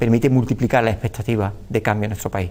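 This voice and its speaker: A man talks at a very fast pace. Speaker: politician. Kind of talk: TV interview answer.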